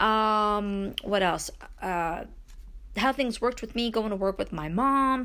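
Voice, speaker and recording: A woman with a Brooklyn accent, fairly high-pitched, bright and sharp in tone, very slow, with ordinary pitch variation, on a very clean recording with a silent background. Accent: Brooklyn New York. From Brooklyn, New York. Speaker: indie author and podcaster. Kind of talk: casual solo podcast monologue.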